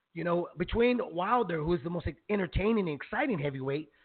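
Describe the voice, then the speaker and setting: A man is speaking. His pitch makes very wide swings. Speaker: boxing podcast host. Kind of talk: casual chat. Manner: emotional, animated.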